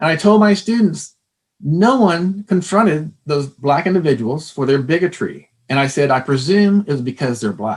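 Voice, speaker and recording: In an American accent, a plain, everyday voice speaks at a moderate pace with lively intonation. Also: man, fairly high pitch for a man. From Texas. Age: 60s. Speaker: former psychology professor. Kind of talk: interview.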